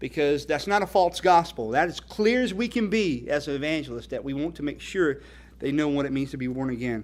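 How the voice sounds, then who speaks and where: A man with a North Carolina accent, fairly high-pitched, at a fairly quick pace. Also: lively intonation. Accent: Southern US (North Carolina). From US South, North Carolina. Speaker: evangelist, ministry founder. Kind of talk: speech at a fundraising dinner.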